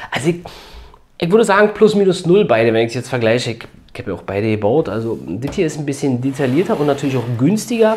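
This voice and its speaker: Music plays in the background as a man with a medium pitch talks very fast, his voice swinging very widely in pitch. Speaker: toy building set reviewer. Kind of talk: casual video review. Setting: home at a building table. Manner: casual with frequent fillers.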